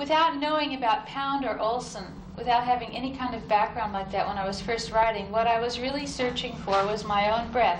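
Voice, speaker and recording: Over noticeable background noise, a woman with a fairly high pitch talks at a moderate pace with ordinary pitch variation. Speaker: poet. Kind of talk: casual spoken introduction to audience. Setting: live reading in a university hall. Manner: hesitant, thoughtful, with fillers. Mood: thoughtful, reflective. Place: studio. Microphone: old recording.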